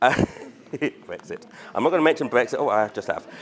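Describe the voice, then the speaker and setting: Here a man is talking. His accent is British. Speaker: charity trustee. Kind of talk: public speech.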